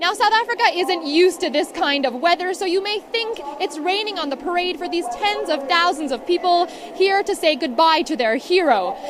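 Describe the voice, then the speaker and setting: Over noticeable background noise, a woman with an extremely high pitch talks at a moderate pace with lively intonation. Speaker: TV news reporter. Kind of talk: TV news report.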